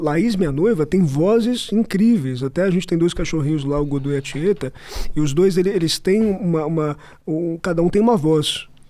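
This man's voice sits high in pitch, with a dark, mellow tone and ordinary pitch variation. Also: moderate pace. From Brazil, São Paulo. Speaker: actor. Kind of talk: podcast interview. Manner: halting. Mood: relaxed, anecdotal. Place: studio. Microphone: studio mic.

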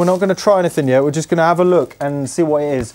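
Here a man speaks in a dark, mellow tone. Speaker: museum host. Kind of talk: casual vlog chat. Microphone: lapel.

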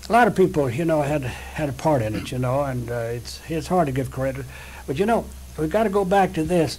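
Talking at a fairly quick pace, a man with a fairly high pitch uses lively intonation over noticeable background noise. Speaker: osteopathic physician. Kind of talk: oral history interview. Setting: his office.

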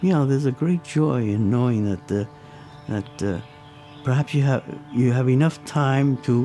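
A man at a fairly slow pace with lively intonation, clear music playing in the background. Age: 80s+. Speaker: guitar maker. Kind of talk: documentary interview answer. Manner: hesitant, reflective. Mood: reflective, gentle, hesitant. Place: workshop.

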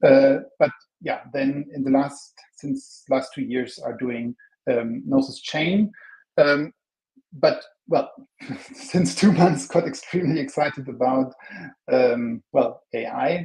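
Very slow pace with long, frequent pauses against a quiet background. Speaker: conference presenter. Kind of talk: conference talk. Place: hall.

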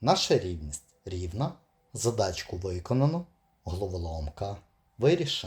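Fairly slow, somewhat breathy speech with lively intonation. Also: man, fairly low pitch for a man. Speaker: puzzle video presenter. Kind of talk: tutorial.

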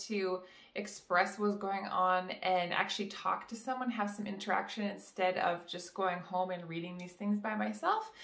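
With audible room echo, a woman speaks at a moderate pace in a monotone, flat intonation. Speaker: vlogger. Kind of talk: casual vlog chat. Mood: warm, friendly. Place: home room.

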